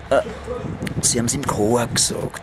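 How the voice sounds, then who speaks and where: A man speaks at a moderate pace and a medium pitch, with a Viennese accent. Noticeable background noise runs under his voice. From Vienna. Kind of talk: casual talk to camera. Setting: outdoors. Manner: rambling, slightly tipsy.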